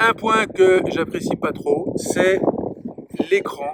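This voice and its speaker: A man speaks with ordinary variation in pitch while noticeable background noise is heard. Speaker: motorcycle reviewer. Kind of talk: product review. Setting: outdoors. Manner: loud.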